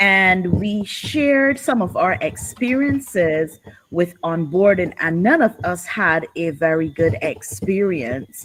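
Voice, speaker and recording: Very slowly, a woman speaks at medium pitch with very wide pitch swings. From Barbados. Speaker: workshop participant. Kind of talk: group presentation in online workshop.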